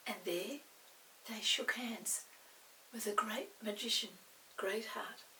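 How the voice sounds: A woman's medium-pitched voice with a bright, sharp tone and vocal fry moves at a slow pace with ordinary pitch variation and audible room echo.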